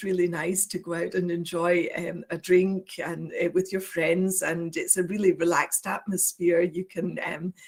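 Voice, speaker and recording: A woman with a Scottish accent, medium in pitch, at a fairly slow pace. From Scotland. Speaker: university international office administrator. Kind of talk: presentation. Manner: hesitant, many fillers.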